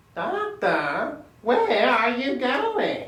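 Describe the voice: Put-on character voice, female-sounding, shrill and high-pitched, with slight echo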